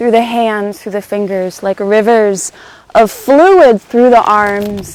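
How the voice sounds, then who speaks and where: Her pitch fairly high and ordinary in its variation, a woman speaks at a very slow pace. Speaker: movement teacher. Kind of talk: guided movement class. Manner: loud; halting.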